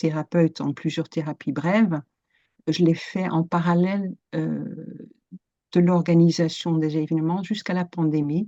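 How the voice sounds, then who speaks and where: A woman with a Dutch accent speaks at a fairly slow pace in a fairly low pitch, her dark, mellow tone and fairly even intonation caught in a dry, close sound with no echo. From Netherlands. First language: Dutch (speaking French). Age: 50s. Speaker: coach and psychotherapist. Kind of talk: interview. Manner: hesitant, many fillers.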